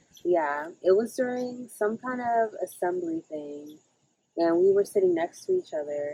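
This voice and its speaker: With an American accent, a woman talks at a moderate pace in an ordinary speaking voice, her intonation lively and the sound dry and close with no echo. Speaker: friend of the host. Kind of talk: casual chat.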